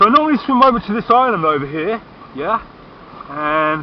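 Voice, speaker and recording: Lively intonation from a man, noticeable background noise behind him. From Britain. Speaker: vlogger. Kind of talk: casual chat. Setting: outdoors. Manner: halting.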